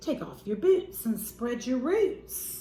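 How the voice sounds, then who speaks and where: A woman's put-on character voice, high-pitched with very wide pitch swings, at a fairly slow pace with slight echo. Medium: read story.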